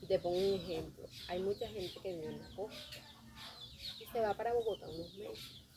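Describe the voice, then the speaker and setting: A woman with a Colombian coastal accent speaks at a moderate pace with big swings in loudness amid noticeable background noise. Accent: Colombian coastal (costeño). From Colombian Caribbean coast. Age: 30s. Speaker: theatre group director and manicurist. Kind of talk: interview.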